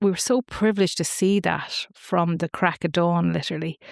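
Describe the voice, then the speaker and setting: A woman speaks at a moderate pace with an Irish accent, her fairly low pitch moving with ordinary variation. The recording is very clean with a silent background and a dry, close sound with no echo. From Ireland, Wicklow then Boyle, Co. Roscommon. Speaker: family constellations facilitator. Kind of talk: podcast interview.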